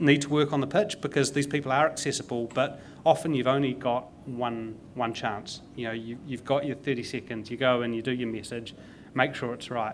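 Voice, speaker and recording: A man speaks with a New Zealand accent and fairly even intonation. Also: medium pitch for a man, moderate pace. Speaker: tech consultant and investor. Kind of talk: panel conversation. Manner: repeats words, stumbling.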